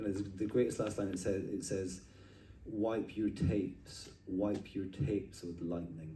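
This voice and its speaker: Through audible room echo, a man talks fairly slowly in a somewhat breathy, dark, mellow voice of fairly low pitch. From Scotland, Edinburgh. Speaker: artist. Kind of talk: casual interview conversation. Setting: at a street art festival. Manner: animated, with frequent filler and restarts.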